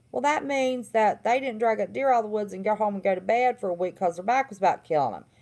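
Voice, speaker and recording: A woman with a Southern accent and a fairly high pitch talks at a very fast pace with hardly any pauses. Her intonation is lively and her loudness swings widely. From West Virginia. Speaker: livestream host, former therapist. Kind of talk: casual livestream monologue.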